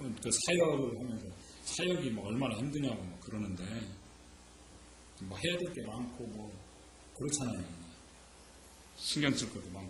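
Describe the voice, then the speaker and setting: Through audible room echo and noticeable background noise, a man of medium pitch speaks at a moderate pace with lively intonation and long, frequent pauses. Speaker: pastor. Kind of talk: sermon. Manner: conversational, rhetorical questions.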